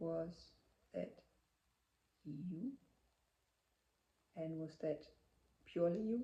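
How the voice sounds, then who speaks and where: A woman talks at a very slow pace, leaving long, frequent pauses. Her fairly low voice is dark, mellow and somewhat breathy, with lively intonation. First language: not English. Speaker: spiritual channeler. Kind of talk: channeling session.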